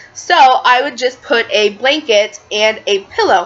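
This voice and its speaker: A woman with an American accent speaks with very wide pitch swings. Noticeable background noise runs beneath her voice. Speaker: lifestyle vlogger. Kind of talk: tutorial. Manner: fast; casual, filler-heavy.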